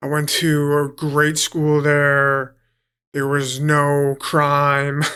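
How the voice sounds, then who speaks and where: On a very clean recording with a silent background, a man with a New York accent speaks very slowly in a flat monotone, his fairly high voice bright and sharp. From New York City (Queens, Long Island). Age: 30s. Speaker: professional fighter. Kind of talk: casual interview chat.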